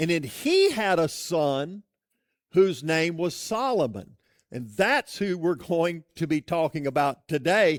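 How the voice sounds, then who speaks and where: A man speaks loudly at a high pitch with lively intonation and a very slow pace, in a dry, close sound with no echo. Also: very clean recording, silent background. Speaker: pastor. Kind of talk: sermon.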